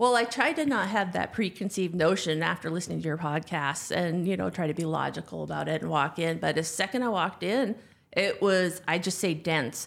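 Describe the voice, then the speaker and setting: On a very clean recording with a silent background, a woman with vocal fry talks at a fairly quick pace and fairly low pitch, with ordinary pitch variation and hardly any pauses. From North Dakota. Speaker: podcast guest, corporate professional. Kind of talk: casual chat.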